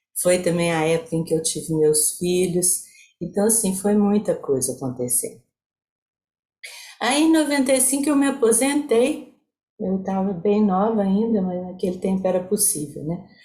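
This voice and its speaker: Very wide pitch swings from a somewhat breathy woman at medium pitch and moderate pace. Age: 70s. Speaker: psychologist. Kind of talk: online talk with slide presentation.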